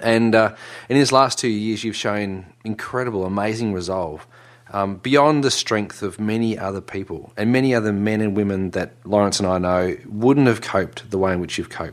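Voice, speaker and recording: Pitch moves in an ordinary way. The accent is Australian. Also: man, fairly low pitch for a man, moderate pace. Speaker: podcast co-host. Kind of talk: casual chat. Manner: excitable.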